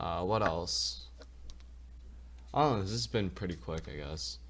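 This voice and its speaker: This man speaks at a fairly quick pace, his voice showing vocal fry. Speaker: gaming youtuber. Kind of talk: tutorial. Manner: fast; casual, with filler words.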